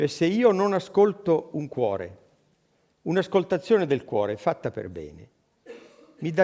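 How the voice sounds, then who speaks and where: The man talks at a moderate pace. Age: 70s. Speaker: physician. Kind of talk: panel discussion. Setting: stage with audience.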